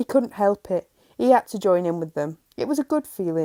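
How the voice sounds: Lively intonation in a natural reading voice, set against a quiet background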